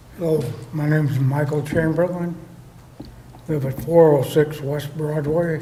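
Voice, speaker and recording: A man's fairly high-pitched, monotone, flat delivery at a fairly slow pace with long, frequent pauses, amid audible room echo and noticeable background noise. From Vermillion, South Dakota. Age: 60s. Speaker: Army veteran resident at public comment. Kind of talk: public comment at council meeting. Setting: city council chamber.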